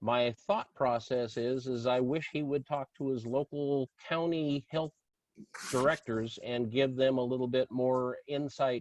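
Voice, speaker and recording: At a moderate pace, a man talks in a normal speaking voice of medium pitch, his intonation fairly even and the sound dry and close with no echo. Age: 60s. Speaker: political candidate. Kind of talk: candidate forum answer.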